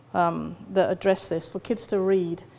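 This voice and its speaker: A woman with a West Country accent, medium in pitch, dark and mellow in tone. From West Country, England. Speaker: psychologist and lecturer. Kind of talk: conference talk.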